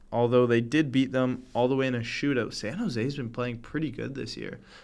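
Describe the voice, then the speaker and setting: A man speaks at a moderate pace with a Canadian accent, his medium pitch held in fairly even intonation, with audible room echo around him. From Canada. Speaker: hockey podcast co-host. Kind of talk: casual sports chat.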